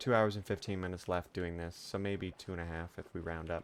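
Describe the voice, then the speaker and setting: A man speaks quietly at a moderate pace on a very clean recording with a silent background. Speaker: streamer. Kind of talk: casual chat.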